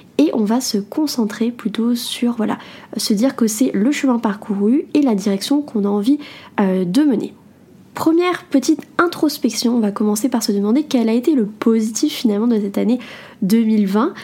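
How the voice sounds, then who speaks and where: Her loudness very even, a woman with a fairly high pitch speaks at a moderate pace with ordinary pitch variation. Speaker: podcast host and entrepreneur blogger. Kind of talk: solo self-help podcast talk.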